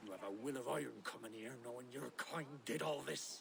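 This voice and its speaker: Putting on a character voice, a man talks in a raspy, medium-pitched voice at a fairly quick pace with lively intonation, over clear background noise. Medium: video game.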